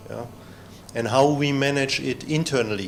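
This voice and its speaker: In a room with audible echo, a man talks at a fairly quick pace with monotone, flat intonation. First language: not English. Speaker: trainer and former researcher. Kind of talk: lecture. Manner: halting, many fillers.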